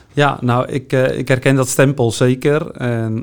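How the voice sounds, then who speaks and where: Monotone, flat intonation in a man's voice of medium pitch. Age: 40s. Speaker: neighbourhood police officer. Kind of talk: interview.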